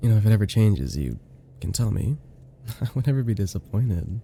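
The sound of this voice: Using a put-on character voice, a man speaks at a moderate pace with a fairly low pitch, a dark, mellow tone with a slightly husky edge, and big pitch swings.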